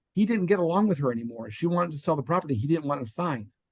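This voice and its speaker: A man's voice comes through dry and close, without any echo. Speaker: 1031 exchange specialist. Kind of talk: webinar Q&A. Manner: fast.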